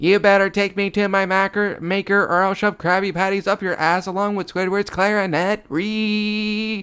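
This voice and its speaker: A man's put-on character voice, shouting loud and shrill at a high pitch, flat and monotone at a moderate pace. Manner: furious, screaming.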